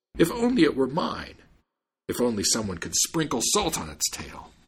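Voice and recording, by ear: Using a put-on character voice, a man speaks at a moderate pace and medium pitch, with very wide pitch swings and a husky, rough edge.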